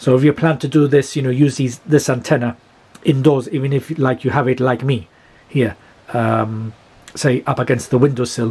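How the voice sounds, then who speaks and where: The man's voice comes across as somewhat breathy. His pace is moderate. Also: fairly even intonation. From UK. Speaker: amateur radio operator and YouTuber. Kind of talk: tutorial. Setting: at home, filmed demonstration. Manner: halting, many fillers. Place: home room. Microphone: phone near.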